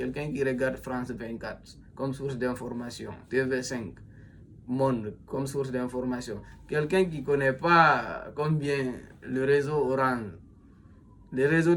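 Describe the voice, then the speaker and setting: In a room with audible echo, a man speaks fairly slowly at a medium pitch with fairly even intonation. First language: a Guinean language (speaking French). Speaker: self-styled philosopher, commentator. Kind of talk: monologue commentary. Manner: halting, many fillers and repetitions.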